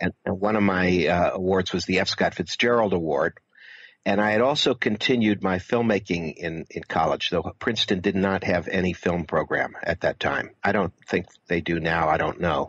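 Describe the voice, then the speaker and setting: Very deep and low, a man's voice with an American accent moves at a moderate pace with very even loudness. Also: ordinary pitch variation. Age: 60s. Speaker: filmmaker and author. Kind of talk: interview.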